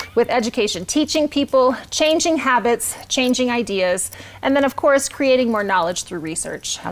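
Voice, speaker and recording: A woman talks loudly and fairly quickly in a high voice, with noticeable background noise behind her. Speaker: nonprofit executive director. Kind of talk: live event hosting. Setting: virtual gala livestream.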